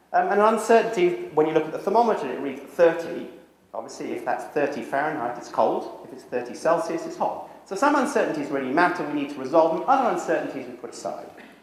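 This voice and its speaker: A man speaks at a very fast pace with hardly any pauses, his high-pitched voice making very wide pitch swings and big swings in loudness, amid audible room echo and noticeable background noise. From Britain. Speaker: social psychology professor. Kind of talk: lecture. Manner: walks around while speaking.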